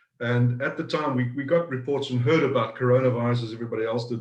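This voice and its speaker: A man with a South African accent talks at a very fast pace, his medium-pitched voice somewhat breathy. His intonation stays fairly even, and there is audible room echo. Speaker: business owner. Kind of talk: interview. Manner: halting, repeats words.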